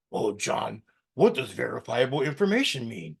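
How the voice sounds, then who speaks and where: His pitch sits fairly high. The voice is a man's. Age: 60s. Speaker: podcast host. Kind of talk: solo political commentary podcast. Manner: halting, repetitive.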